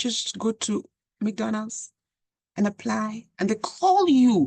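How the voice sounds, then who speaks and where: Somewhat breathy and dark, mellow in tone, a woman's fairly high voice comes through in a dry, close sound with no echo. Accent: African. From Africa. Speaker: channel host, commentator. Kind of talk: monologue commentary.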